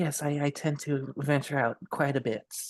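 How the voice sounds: A gruff, put-on character voice from a man, fairly high in pitch, at a moderate pace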